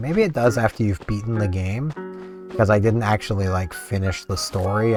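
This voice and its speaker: Music plays behind a man talking. His pitch varies in an ordinary way. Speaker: gaming YouTuber. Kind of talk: casual gameplay commentary. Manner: quiet, soft-spoken.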